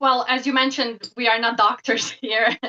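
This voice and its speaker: Speaking at a moderate pace, a woman with a Bosnian accent has a bright, sharp tone. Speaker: professor and psychotherapist. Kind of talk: interview.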